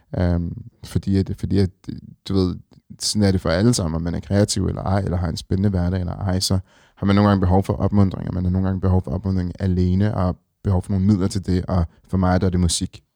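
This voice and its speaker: In a very deep, low pitch and a dark, mellow tone, a man speaks at a very fast pace with monotone, flat intonation, recorded very clean against a silent background with a dry, close sound and no echo. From Denmark, Ringsted (Zealand). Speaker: fashion icon and former musician. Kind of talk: casual interview. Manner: hesitant, many fillers.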